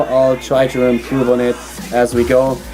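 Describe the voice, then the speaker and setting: A medium-pitched man's voice in a German accent, with music in the background. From Germany. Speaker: esports commentator. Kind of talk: live commentary. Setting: studio.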